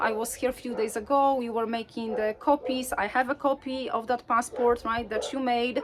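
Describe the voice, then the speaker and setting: Speaking at a moderate pace with a non-native accent, a woman keeps a high voice in fairly even intonation. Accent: foreign accent in English. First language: Polish. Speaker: faith storyteller. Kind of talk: personal storytelling. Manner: hesitant, frequent filler words.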